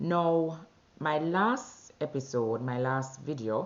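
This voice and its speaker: A woman with a Jamaican accent. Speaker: vlogger sharing weight-loss journey. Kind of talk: personal video diary. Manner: conversational with fillers.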